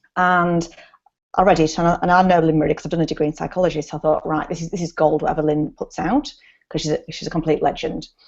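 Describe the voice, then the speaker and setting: In an English accent, a woman talks at a very fast pace with a fairly low pitch and a monotone, flat delivery. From England. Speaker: nurse and sleep consultant. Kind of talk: casual advice chat.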